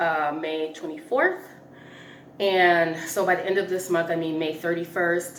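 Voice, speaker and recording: In a room with audible echo, a woman talks fairly slowly at a fairly low pitch with fairly even intonation. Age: 40s. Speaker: personal finance vlogger. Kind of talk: casual chat. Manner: casual, halting with fillers.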